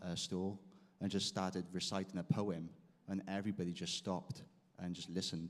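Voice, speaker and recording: Very deep and low in pitch, a man with a Welsh accent talks at a fairly quick pace in monotone, flat intonation. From South Wales. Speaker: guitarist. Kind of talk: interview. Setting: stage with audience.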